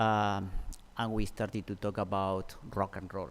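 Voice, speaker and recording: A man's fairly low voice with monotone, flat intonation. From abroad, other side of the world. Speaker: HR manager giving eulogy. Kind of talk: eulogy. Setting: funeral service.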